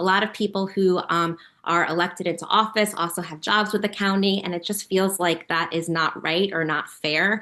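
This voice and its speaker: A woman's bright, sharp voice with an American accent, medium in pitch, with fairly even intonation. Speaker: political candidate. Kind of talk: interview. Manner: fast.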